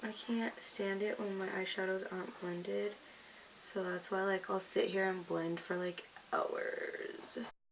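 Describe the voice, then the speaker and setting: A woman talks at a fairly slow pace while noticeable background noise sits behind her. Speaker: beauty vlogger. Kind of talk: makeup tutorial. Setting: at home in front of camera.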